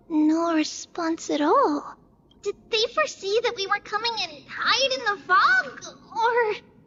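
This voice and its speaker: Pitched extremely high, a put-on character voice unfolds at a fairly slow pace. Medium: video game. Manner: alert, urgent.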